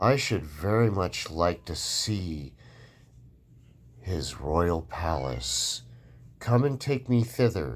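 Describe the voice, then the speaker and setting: Using a put-on character voice, a man speaks at a very slow pace in a very deep, low pitch, with long, frequent pauses. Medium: read story.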